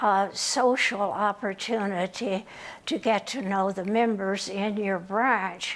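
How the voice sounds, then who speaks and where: A woman talks at a very slow pace. Her medium pitch carries fairly even intonation. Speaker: retired AAUW member. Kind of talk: oral history interview answer. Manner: hesitant, reflective, many fillers.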